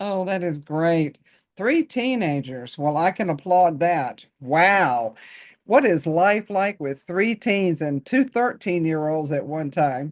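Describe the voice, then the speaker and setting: A woman's fairly low voice in an American accent, very slow, with lively intonation. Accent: Southern accent, reduced. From North Carolina. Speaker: podcast host. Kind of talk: podcast interview.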